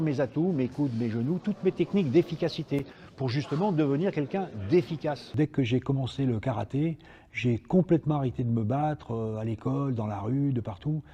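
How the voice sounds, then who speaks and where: Somewhat breathy and dark, mellow in tone, a man speaks at a fairly high pitch and moderate pace with lively intonation. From France, Lyon. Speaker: karate teacher and former world champion. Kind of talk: interview testimony; martial arts class instruction.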